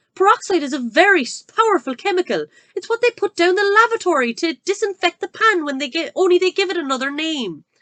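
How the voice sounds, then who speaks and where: In a put-on character voice, a woman speaks very fast with hardly any pauses, her shrill pitch extremely high and her intonation lively. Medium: read story. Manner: shrill, scornful.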